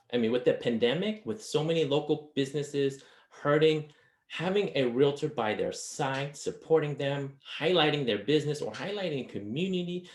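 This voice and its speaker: This man's voice sits at a fairly high pitch. It comes across as somewhat breathy. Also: ordinary pitch variation. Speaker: marketing consultant presenter. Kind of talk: webinar presentation. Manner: fast.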